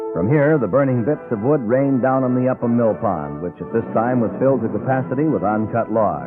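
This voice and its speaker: Over background music, a man talks with ordinary pitch variation. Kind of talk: vintage radio history narration. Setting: old radio broadcast, restored from cassette.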